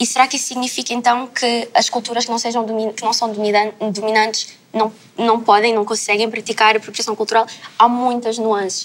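Monotone, flat intonation from a woman at a fairly high pitch and a moderate pace. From Lisbon, Portugal. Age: 20s. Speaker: content creator. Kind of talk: panel discussion.

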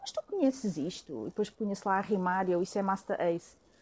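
A woman with a Lisbon accent speaks in a dark, mellow tone. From Lisbon, Portugal. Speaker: former hip-hop artist. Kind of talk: casual chat.

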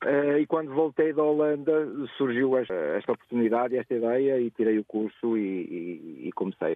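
A man speaks at medium pitch and a moderate pace. His loudness stays very even. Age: 40s. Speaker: ride-hailing driver. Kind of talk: radio phone-in chat. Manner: halting, many repetitions.

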